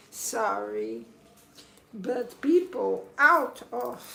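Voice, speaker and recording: A woman with a non-native accent speaks very slowly. Room echo is audible. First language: Portuguese. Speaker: spiritual coach. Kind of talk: livestream monologue. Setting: live stream on camera. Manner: emphatic.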